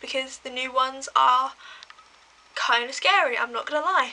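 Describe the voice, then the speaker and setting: A woman with an English accent uses a raised, projected voice at a high pitch, with noticeable background noise behind her. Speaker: vlogger. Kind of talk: casual storytelling to camera. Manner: fast.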